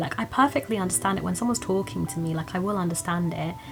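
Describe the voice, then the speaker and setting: A woman's fairly low voice with an English accent, very fast and lively in intonation, over noticeable background noise. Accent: British English (English). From England, British Indian (South Indian family). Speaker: YouTuber. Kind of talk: casual vlog chat to camera. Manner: casual, with many fillers.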